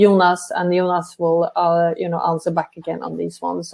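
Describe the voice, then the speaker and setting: A woman's fairly low voice with a Norwegian accent. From Norway. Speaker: travel company director. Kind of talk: live webinar interview.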